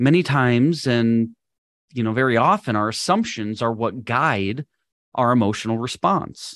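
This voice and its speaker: In an American accent, an ordinary speaking voice goes at a moderate pace with ordinary pitch variation. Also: man, medium pitch for a man. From Minnesota, US Midwest. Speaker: podcast host and leadership coach. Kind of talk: solo podcast lesson.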